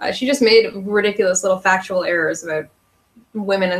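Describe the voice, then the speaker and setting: Speaking fairly quickly, a woman has a strong Canadian accent. Her pitch is medium and her intonation fairly even. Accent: strong regional Canadian. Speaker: youtuber. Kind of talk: casual livestream Q&A.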